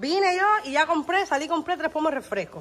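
Over faint background music, a woman talks at a fairly quick pace in an animated tone, her pitch swinging very widely. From Cuba. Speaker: family vlogger; vlogger. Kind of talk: casual vlog chat. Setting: at family home. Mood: teasing, complaining. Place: kitchen. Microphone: phone near.

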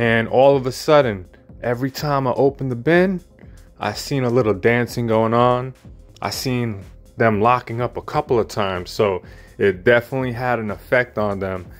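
A man at a moderate pace with ordinary pitch variation, faint music in the background. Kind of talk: casual vlog chat. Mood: pleased, enthusiastic. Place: home room. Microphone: phone near.

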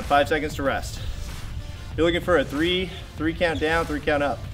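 A man talking at a fairly quick pace over clear music in the background. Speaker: fitness trainer. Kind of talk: workout instruction. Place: garden.

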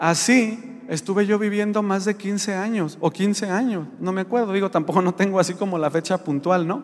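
The man's high voice moves at a moderate pace, its pitch varying in an ordinary way. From Mexico, rural Jalisco area. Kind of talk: religious testimony. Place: church. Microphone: handheld.

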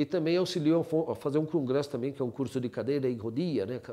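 Against a quiet background, a man speaks at a moderate pace. His pitch is fairly high and his tone is dark and mellow. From Brazil, São Paulo city. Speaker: orthopedic surgeon. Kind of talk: life-story testimony. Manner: halting, with frequent repetitions. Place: home room. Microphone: lapel.

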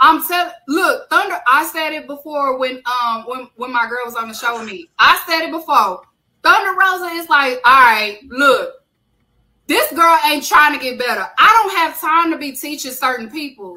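A woman's raised, projected voice with an American accent, high in pitch, bright and sharp in tone, animated, at a moderate pace, with big swings in loudness. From Texas. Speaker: wrestling podcast host. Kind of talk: casual chat.

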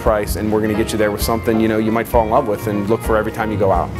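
A man races along very fast while music plays clearly behind him. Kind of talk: interview answer. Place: bar.

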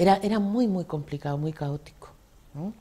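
A woman's voice carries a dark, mellow tone and ordinary pitch variation. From Canary Islands, Telde (Gran Canaria); Canary Islands, Spain. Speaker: retired secondary school teacher and former head; retired secondary school teacher. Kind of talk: interview. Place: studio. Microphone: lapel.

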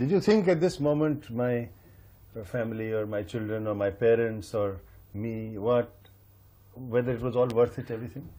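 At a moderate pace, a man talks in a medium pitch with ordinary pitch variation. His tone is dark and mellow. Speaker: interviewer. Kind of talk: interview.

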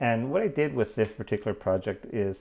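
Here a man is speaking. His pace is moderate. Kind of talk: tutorial. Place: workshop.

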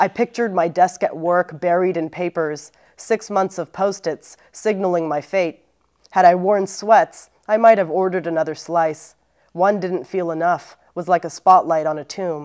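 Against a quiet background, a woman speaks at a fairly low pitch. Her pace is moderate and her intonation fairly even. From US, Los Angeles area; California. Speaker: poet and English teacher; poet, English teacher. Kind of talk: poetry reading. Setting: library. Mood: warm, reflective. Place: studio.

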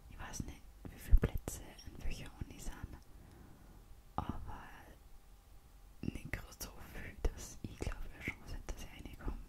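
A woman whispers at a moderate pace with long, frequent pauses, her volume rising and falling sharply against clearly audible background noise. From Austria. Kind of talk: ASMR whispered casual talk. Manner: whispered, soft-spoken.

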